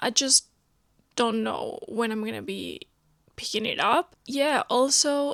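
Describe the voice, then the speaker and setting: At a fairly slow pace, a woman with a non-native accent speaks with ordinary pitch variation in a dry, close sound with no echo. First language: not English. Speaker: book vlogger. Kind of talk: casual vlog talk to camera. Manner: conversational, filler-heavy.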